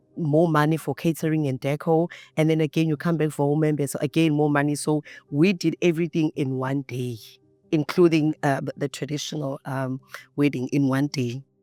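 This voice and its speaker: Music plays behind a woman with a very deep, low pitch. She speaks in a flat monotone. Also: moderate pace, dry, close sound with no echo. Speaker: wife in intercultural couple. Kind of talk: interview. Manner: loud.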